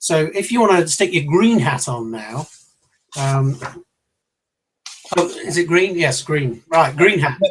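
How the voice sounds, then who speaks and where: Here a man talks with a fairly high pitch and lively intonation. He leaves long, frequent pauses. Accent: British. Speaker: leadership trainer. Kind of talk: online seminar talk. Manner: fast; loud.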